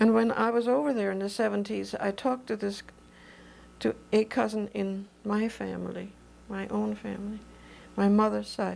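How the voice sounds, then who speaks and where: A woman with a German accent talks at a moderate pace. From Germany. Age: 70s. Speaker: oral history interviewee. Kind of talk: oral history interview. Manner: halting.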